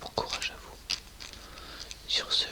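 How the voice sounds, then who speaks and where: A man is whispering at a fairly slow pace. Noticeable background noise can be heard. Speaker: ASMR content creator. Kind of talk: casual talk to camera, ASMR channel intro.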